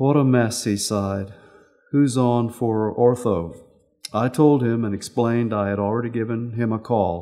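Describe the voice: Reading aloud, plain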